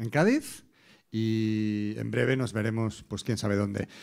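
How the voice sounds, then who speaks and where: Fairly even in intonation, a man speaks at a fairly slow pace. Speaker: master of ceremonies. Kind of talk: event host announcing and closing. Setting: stage with audience. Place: stage. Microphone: handheld.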